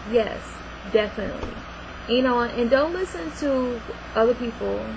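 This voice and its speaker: A woman's fairly high, lively voice with long, frequent pauses, audible room echo and noticeable background noise. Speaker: actress. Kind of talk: casual talk to camera. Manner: animated.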